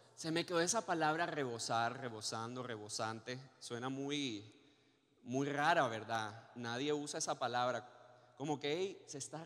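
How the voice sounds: Medium in pitch, a man talks at a fairly slow pace with ordinary pitch variation.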